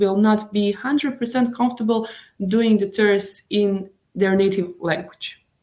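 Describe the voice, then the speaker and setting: A woman with a Bosnian accent speaks fairly slowly in a dark, mellow tone at a medium pitch, her intonation fairly even. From Bosnia and Herzegovina, Mostar. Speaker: tour guide. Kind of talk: interview. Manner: halting.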